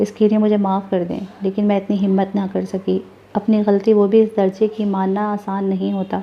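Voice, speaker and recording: A woman's monotone, flat delivery over noticeable background noise. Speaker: voice over narrator reading a novel. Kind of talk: audio novel narration.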